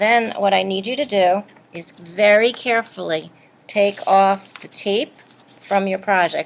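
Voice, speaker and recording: A woman speaks at a medium pitch. Noticeable background noise runs beneath her. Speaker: art teacher. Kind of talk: tutorial.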